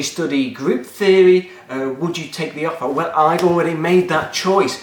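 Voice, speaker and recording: Here a man with an English Midlands accent talks at a high pitch and a moderate pace. Noticeable background noise and audible room echo come through. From England, Nottingham. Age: 20s. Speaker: maths teacher and video blogger. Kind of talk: casual Q&A vlog. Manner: informal, joking, with many fillers.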